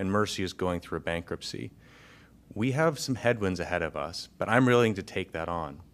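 A man with a Midwestern American accent speaks at a fairly low pitch and fairly quick pace. His intonation is lively, and the recording is very clean with a silent background. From north central Iowa. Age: 40s. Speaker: city council candidate. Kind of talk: candidate forum.

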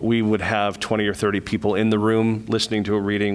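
This man speaks at a fairly quick pace. His pitch is fairly low. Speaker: literary nonprofit director. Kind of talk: public meeting presentation. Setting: meeting room.

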